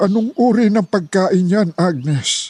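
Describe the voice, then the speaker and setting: Putting on a character voice, a man speaks at a high pitch and a very slow pace with lively intonation. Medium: audio drama.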